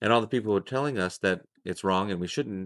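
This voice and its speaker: In a normal speaking voice, a man talks at a fairly quick pace with fairly low pitch and ordinary pitch variation, the sound dry and close with no echo. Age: 30s. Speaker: podcast host. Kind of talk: casual interview. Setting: outdoors at guest's property.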